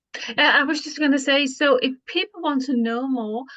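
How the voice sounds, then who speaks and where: A woman's high voice in a Danish accent, with a dry, close sound and no echo. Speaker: podcast co-host. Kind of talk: interview.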